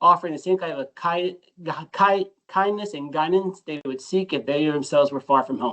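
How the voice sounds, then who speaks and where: A man with an American accent, fairly high in pitch with ordinary pitch variation, at a moderate pace. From United States. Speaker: financial advisor. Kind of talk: conference presentation.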